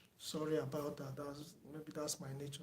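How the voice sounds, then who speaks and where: The speaker is soft-spoken and somewhat breathy. Audible room echo surrounds the voice. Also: man. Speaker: teacher. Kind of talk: online lecture wrap-up, thanking viewers. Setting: online video lecture. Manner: hesitant, many fillers. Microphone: no microphone, too quiet per viewer.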